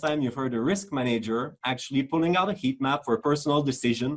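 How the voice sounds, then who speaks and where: Someone speaks with a French accent at a fairly quick pace. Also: man. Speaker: risk manager. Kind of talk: webinar talk. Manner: hesitant, with fillers.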